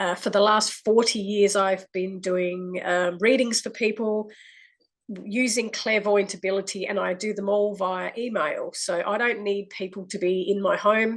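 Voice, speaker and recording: Monotone, flat intonation in an Australian accent at a fairly slow pace. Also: woman, medium pitch for a woman. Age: 60s. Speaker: clairvoyant. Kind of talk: testimony. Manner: halting.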